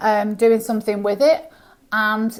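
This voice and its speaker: The speaker is a woman with a British accent. Her pitch is fairly high. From UK. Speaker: business founder. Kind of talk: casual chat. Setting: podcast interview.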